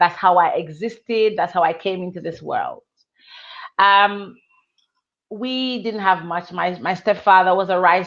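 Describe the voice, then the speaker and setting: In a Jamaican accent, a woman speaks at a moderate pace with a medium pitch and fairly even intonation. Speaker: author. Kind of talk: testimony.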